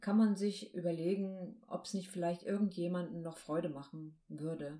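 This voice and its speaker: A normal speaking voice moves at a moderate pace. Its pitch variation is ordinary. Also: woman. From northern Germany, Baltic coast. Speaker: podcast co-host, hypnosis coach. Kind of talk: casual chat.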